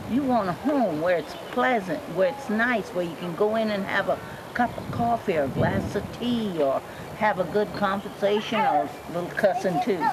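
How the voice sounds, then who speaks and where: Noticeable background noise sits behind a woman with a Southern US accent and a medium pitch. She talks at a moderate pace with lively intonation. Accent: Southern US (Georgia). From Georgia, US. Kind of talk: interview answer. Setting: outdoors.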